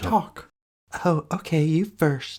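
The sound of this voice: In a cartoonish character voice, a woman speaks at a fairly low pitch.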